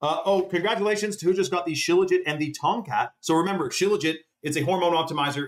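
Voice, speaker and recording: A man races along at a very fast pace, his pitch fairly high. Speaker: livestreamer promoting supplements. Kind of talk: live stream sales pitch. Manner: animated.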